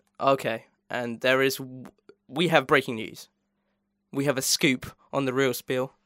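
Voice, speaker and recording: A man's animated voice at a medium pitch, fairly slow, with long, frequent pauses and a dry, close sound with no echo. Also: very clean recording, silent background. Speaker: podcast host. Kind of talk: casual chat. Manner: animated, laughs often.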